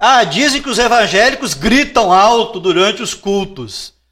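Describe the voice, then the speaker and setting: On a very clean recording with a silent background, a man talks at a moderate pace with a high pitch, a bright, sharp tone and lively intonation. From Brazil, interior of the state. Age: 40s. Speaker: Portuguese language teacher. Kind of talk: casual interview chat.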